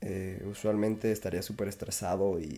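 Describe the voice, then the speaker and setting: In a dark, mellow tone, a man speaks at a moderate speed. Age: 20s. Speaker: podcast host. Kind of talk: casual monologue. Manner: flat, not very excited-sounding; halting.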